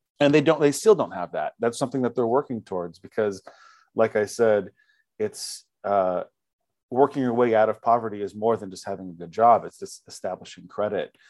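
In a very clean recording with a silent background and a dry, close sound with no echo, a man with an American accent speaks at a fairly quick pace and a medium pitch, with ordinary pitch variation and big swings in loudness. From US West, Fresno, California. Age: 30s. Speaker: photojournalist. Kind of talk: radio interview. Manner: halting, with frequent repetitions and fillers.

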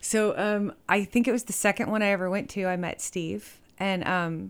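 An ordinary speaking voice in an American accent, its pitch rising and falling in an ordinary way. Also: woman. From Texas, Fort Worth. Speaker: musician. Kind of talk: casual chat.

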